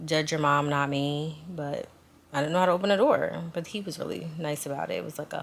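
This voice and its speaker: Very deep and low in pitch, a woman talks at a very fast pace with ordinary pitch variation. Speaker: flight attendant vlogger. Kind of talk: casual vlog talk to camera.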